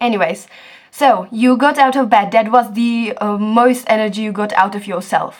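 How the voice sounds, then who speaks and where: With a Czech accent, a woman speaks at a moderate pace in a fairly high pitch with ordinary pitch variation. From Czech Republic. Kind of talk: casual talk to camera.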